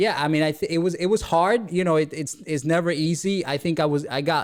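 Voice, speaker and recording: A man speaks with a Spanish accent at a moderate pace. The recording is very clean with a silent background. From Dominican Republic. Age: 20s. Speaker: real estate entrepreneur. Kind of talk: podcast interview. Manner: repetitive, halting.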